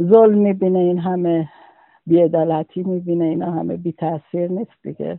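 This man's voice sits high in pitch. He talks at a moderate pace in a monotone, flat intonation. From Khuzestan, Iran (Ahvaz). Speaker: witness recounting the 1979 referendum. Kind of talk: personal testimony interview.

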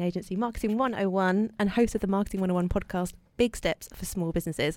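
Heard in a very clean recording with a silent background, a woman has an unremarkable speaking voice, medium in pitch with ordinary pitch variation. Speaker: radio co-host. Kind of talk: radio show chat.

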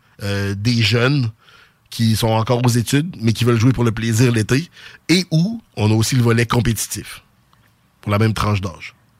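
Speaking at a moderate pace with a Quebec City accent, a man of medium pitch uses ordinary pitch variation and takes long, frequent pauses, captured on a very clean recording with a silent background. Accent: Sainte-Foy Quebec French. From Quebec, Sainte-Foy (Quebec City). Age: 40s. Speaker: youth sports club director. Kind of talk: radio interview.

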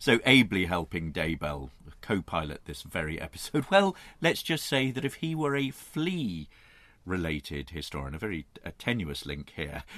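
A man speaks with a very deep, low pitch and a bright, sharp tone. His pitch swings very widely against a quiet background. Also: moderate pace. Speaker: podcast co-host. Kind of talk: casual banter. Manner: measured.

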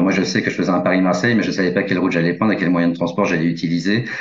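Very deep, low male voice with fairly even intonation and audible room echo. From rural France. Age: 40s. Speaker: journalist and crime novelist. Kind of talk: interview. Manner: halting, many fillers.

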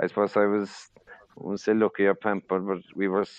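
This man has a very deep, low pitch and a strong Cork accent. He talks at a moderate pace. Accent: Cork Irish, strong.

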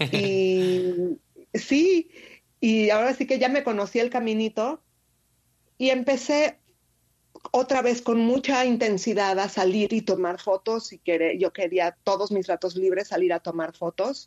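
With an unremarkable speaking voice, a woman talks at a fairly slow pace in a fairly high pitch, her intonation lively and her loudness very even, the sound dry and close with no echo. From Mexico City. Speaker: street photographer. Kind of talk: interview.

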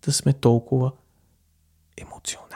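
A man sounds somewhat breathy, recorded dry and close with no echo. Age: 20s. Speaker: podcaster. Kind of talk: solo monologue.

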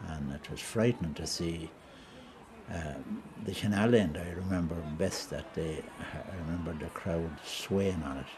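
A man with a Wexford accent speaks at a fairly slow pace in a very deep, low pitch with ordinary pitch variation. His loudness swings widely, and room echo is audible. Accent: rural Wexford Irish. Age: 70s. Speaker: retired hurler. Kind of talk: reminiscing interview.

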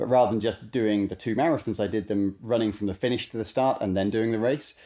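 In a British accent, a man speaks at a medium pitch with a dark, mellow tone and fairly even intonation. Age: 30s. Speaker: ultramarathon runner and coach. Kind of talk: podcast interview. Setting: remote call from home. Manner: halting, many repeated words.

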